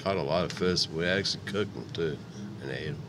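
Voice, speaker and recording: A man's voice carries audible room echo. His intonation stays fairly even. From Upstate New York, Niagara Falls. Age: 60s. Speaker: public housing resident. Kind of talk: interview. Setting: radio studio.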